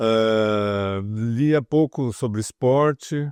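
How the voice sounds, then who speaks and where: Here a man talks with ordinary pitch variation. The sound is dry and close with no echo, over a quiet background. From interior of São Paulo state, Brazil. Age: 60s. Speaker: former journalist and financial market communications executive. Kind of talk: oral history interview. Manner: hesitant, many fillers.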